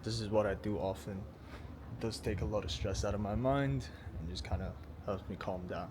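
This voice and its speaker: A man with a very deep, low voice speaks at a moderate pace with lively intonation. Noticeable background noise and audible room echo surround him. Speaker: car vlogger. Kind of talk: casual vlog monologue. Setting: in a car. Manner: quiet, kept down.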